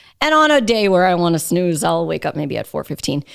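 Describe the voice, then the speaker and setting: This is a very clean recording with a silent background. A woman speaks at a fairly quick pace. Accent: New York. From New York City (Queens). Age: 30s. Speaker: radio host. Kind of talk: casual chat. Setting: studio.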